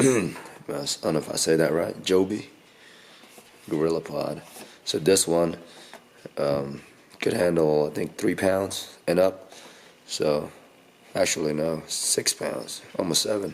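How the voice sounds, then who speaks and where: This man's voice sits very deep and low in pitch, with ordinary pitch variation. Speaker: tech unboxing youtuber. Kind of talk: casual unboxing video. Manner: halting, many fillers.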